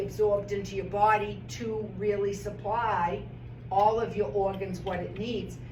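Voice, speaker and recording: Amid audible room echo and noticeable background noise, a woman talks at a fairly slow pace. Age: 60s. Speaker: doctor. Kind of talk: seminar talk. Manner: animated.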